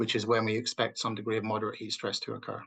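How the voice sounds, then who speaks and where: A man's bright, sharp tone at a medium pitch. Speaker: agricultural researcher. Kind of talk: webinar presentation. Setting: online webinar. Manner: fast.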